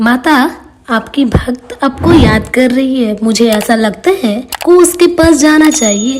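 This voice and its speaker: A woman does a cartoonish character voice at a high pitch. She speaks at a fairly slow pace. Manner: respectful, deferential.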